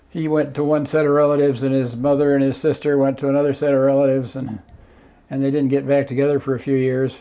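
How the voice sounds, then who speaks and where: Very fast and monotone, a man with an American accent talks at a fairly high pitch with flat intonation. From Southern California, Newport Beach. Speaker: former city council member, ferry operator. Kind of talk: oral history interview. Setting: at home. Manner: halting.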